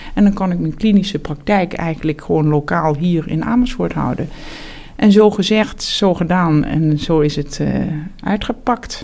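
Clear background noise is present throughout. A woman talks at a medium speed. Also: fairly low pitch for a woman, lively intonation. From Netherlands, South Limburg (Heerlen). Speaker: surgeon and professor. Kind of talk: interview. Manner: hesitant, many fillers and repetitions.

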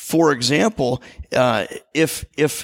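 This man's pitch is fairly high, with ordinary pitch variation. Vocal fry runs through his voice. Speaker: church staff member preaching. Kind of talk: sermon. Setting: church service with congregation. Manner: halting, many repetitions.

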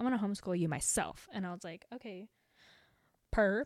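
The sound is dry and close, without echo. The woman has an American accent. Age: young. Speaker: podcast host. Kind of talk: casual monologue. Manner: animated.

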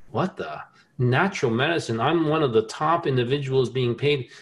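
In an ordinary speaking voice, a man with an American accent talks at a moderate pace. His pitch is medium and his intonation lively. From New Jersey. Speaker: inventor and scientist. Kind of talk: interview conversation.

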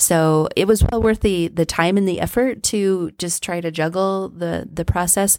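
A woman with a plain, everyday voice and an American accent speaks at a moderate pace with hardly any pauses, using fairly even intonation at a medium pitch, in a very clean recording with a silent background. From southern Colorado (Trinidad). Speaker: library director. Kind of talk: interview.

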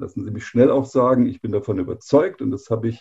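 A man talks at a medium pitch with a somewhat breathy quality. His tone is dark and mellow. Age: 50s. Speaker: engineering executive. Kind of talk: interview.

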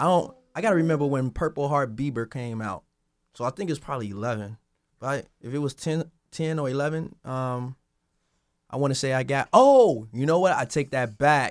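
In a very clean recording with a silent background and a dry, close sound with no echo, a man with a fairly high pitch talks at a moderate pace with ordinary pitch variation. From Chicago. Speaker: music producer and A&R. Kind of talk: interview.

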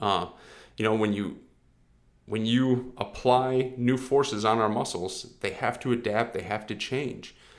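There is audible room echo as a man speaks at a medium pitch, fairly slow pace and fairly even intonation. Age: 30s. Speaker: fitness coach podcast host. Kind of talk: solo podcast monologue. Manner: casual, filler-heavy.

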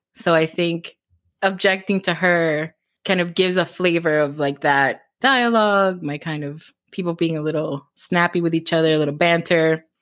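Fairly low-pitched woman with a Cuban American accent, on a very clean recording with a silent background. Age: 30s. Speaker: romance author. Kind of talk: casual interview. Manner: fast talker.

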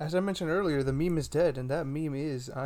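A man talks at a fairly quick pace in a fairly high voice, an unremarkable speaking voice. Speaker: podcast co-host.

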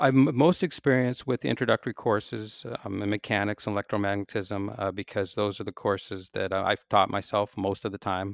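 With a Pacific Northwest accent, a man talks at a fairly quick pace and fairly low pitch with ordinary pitch variation, recorded very cleanly against a silent background with a dry, close sound and no echo. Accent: American (Pacific Northwest). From US Pacific Northwest (Seattle). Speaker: physics professor. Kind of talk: interview. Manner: halting, many fillers and restarts.

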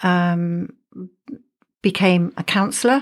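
On a very clean recording with a silent background, a woman with an English accent speaks fairly slowly at a medium pitch, her intonation fairly even. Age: 70s. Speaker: podcast co-host. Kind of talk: casual chat.

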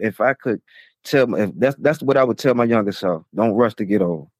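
In a very clean recording with a silent background, a man of medium pitch speaks at a moderate pace with ordinary pitch variation. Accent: American. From Chesapeake, Virginia. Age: 40s. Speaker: former prisoner. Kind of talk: casual interview. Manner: halting.

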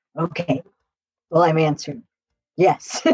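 In a gruff, put-on character voice, the speaker holds a middle pitch at a moderate pace.

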